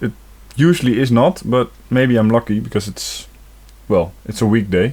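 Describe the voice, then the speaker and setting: Medium-pitched male speech with a non-native accent, at a moderate pace and with ordinary pitch variation. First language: not English. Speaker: gaming video creator. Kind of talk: let's play commentary. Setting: home recording with facecam. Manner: casual, hesitant.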